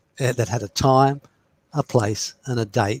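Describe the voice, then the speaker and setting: Somewhat breathy and medium-pitched, a man talks at a moderate pace with ordinary pitch variation, on a very clean recording with a silent background and a dry, close sound with no echo. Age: 60s. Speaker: astrologer. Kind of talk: interview.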